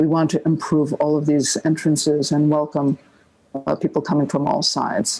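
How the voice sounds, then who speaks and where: This woman's voice sits very deep and low, with a dark, mellow tone. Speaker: architect presenting a master plan. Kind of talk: project presentation. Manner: halting, many filler words.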